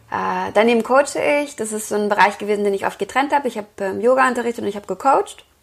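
Her delivery is very fast, and this woman's pitch sits fairly high. The rise and fall of her voice is ordinary. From Lower Rhine, Germany (Wesel). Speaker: yoga teacher and author. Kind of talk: interview.

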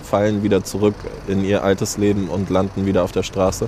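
Noticeable background noise sits beneath a man whose voice is fairly low in pitch. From Germany, Hamburg. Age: 30s. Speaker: founder of a shower bus for homeless people. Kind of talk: interview.

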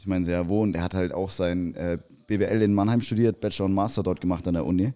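A man with a dark, mellow tone speaks at a fairly low pitch and a very fast pace. His intonation is fairly even, and the recording is very clean with a silent background. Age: 20s. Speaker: logistics site manager. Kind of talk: casual discussion.

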